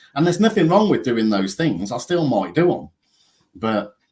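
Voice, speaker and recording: A man speaks with an English accent. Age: 50s. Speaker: counsellor and author. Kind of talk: casual chat.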